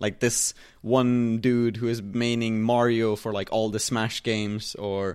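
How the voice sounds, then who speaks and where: A man with a Swedish accent, fairly low pitch, a monotone, flat delivery and a fairly slow pace. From Sweden. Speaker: esports player and caster, streamer, podcast host. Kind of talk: casual interview chat. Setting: remote call.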